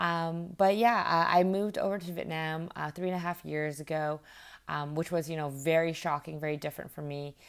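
Talking at a fairly quick pace with a Canadian accent, a woman uses an unremarkable speaking voice, fairly low in pitch, with fairly even intonation. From Vancouver, western Canada. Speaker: startup founder and CEO. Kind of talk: interview.

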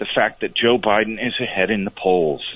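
A man speaks at a moderate pace. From Vermont, Burlington. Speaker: caller. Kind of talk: call-in comment. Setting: phone call.

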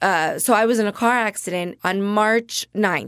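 A woman with an American accent speaks in an ordinary speaking voice. Her pitch is fairly high, with ordinary variation. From New Jersey, Jersey Shore. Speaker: actress and comedian. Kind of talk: casual chat.

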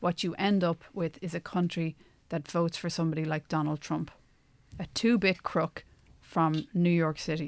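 A woman with an Irish accent speaks at a moderate pace and a fairly low pitch, with fairly even intonation. The recording is very clean with a silent background and a dry, close sound with no echo. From Ireland. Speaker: podcast co-host, Irish emigrant returned from US. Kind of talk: casual conversational discussion.

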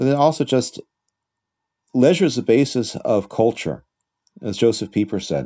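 A man with an American accent and vocal fry, lively intonation, a moderate pace and long, frequent pauses, on a very clean recording over a silent background. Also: medium pitch for a man. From United States. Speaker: teacher at an international school, podcast co-host. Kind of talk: casual discussion.

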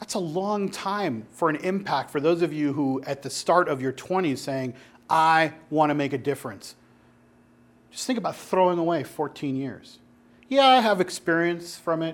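A man's fairly high-pitched, unremarkable speaking voice at a moderate pace, with lively intonation, on a very clean recording with a silent background. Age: 30s. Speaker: pastor or church group teacher. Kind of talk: sermon-style teaching talk to a group.

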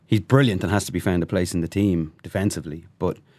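Against a quiet background, a man with an Irish accent speaks fairly quickly in a very deep, low voice with ordinary pitch variation. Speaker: rugby journalist. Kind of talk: casual chat. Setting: studio.

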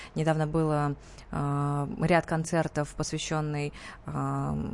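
Very slow speech from a woman with a very deep, low pitch and fairly even intonation, over a quiet background. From Tatarstan, Russia (Nizhnekamsk). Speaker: pop and opera singer. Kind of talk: radio interview. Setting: radio studio.

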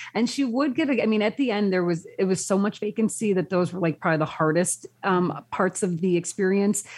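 A woman's ordinary speaking voice at medium pitch, fairly quick pace, lively intonation, very even loudness and hardly any pauses. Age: 40s. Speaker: lifestyle blogger. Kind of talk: casual chat.

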